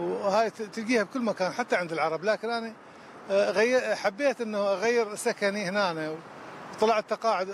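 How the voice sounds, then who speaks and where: In a Baghdad accent, a man talks at a high pitch. His pitch varies in an ordinary way. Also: moderate pace. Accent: Baghdadi Iraqi Arabic. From Iraq, Baghdad. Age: 60s. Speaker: street cleaner. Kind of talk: street interview. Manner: halting.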